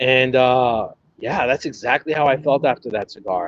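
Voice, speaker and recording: Speaking at a moderate pace, a man shows ordinary pitch variation. The sound is dry and close with no echo, over a quiet background. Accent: American. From New York, Brooklyn. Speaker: cigar content creator and historian. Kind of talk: casual chat.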